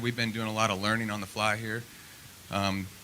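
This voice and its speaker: The speaker talks at a fairly quick pace. The voice carries a Midwestern US accent. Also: man. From Nebraska, Lincoln. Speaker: political candidate. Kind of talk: opening statement at candidate forum. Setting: public forum with audience. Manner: halting, many fillers.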